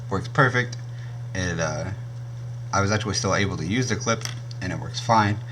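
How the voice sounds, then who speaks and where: Amid audible room echo and noticeable background noise, a man speaks at a fairly quick pace with ordinary pitch variation. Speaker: YouTuber reviewing gear. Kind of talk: product review. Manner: casual, with many fillers.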